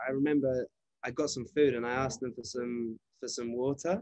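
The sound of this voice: A man with a medium pitch speaks at a fairly quick pace with ordinary pitch variation, his voice dry and close with no echo.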